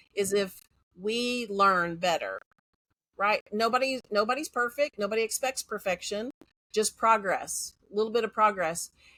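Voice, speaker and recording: A woman speaks with an American accent in a fairly high, bright, sharp voice. The recording is very clean, with a silent background. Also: ordinary pitch variation, dry, close sound with no echo. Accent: Texas accent, denied by herself. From Central Texas. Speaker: educator. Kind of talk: interview conversation. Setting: podcast. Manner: fast.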